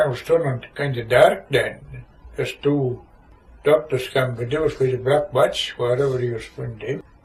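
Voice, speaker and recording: This man speaks in a Shetland accent at a medium pitch. His intonation is monotone and flat, at a moderate pace. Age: 80s+. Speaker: war veteran. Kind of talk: oral history interview answer.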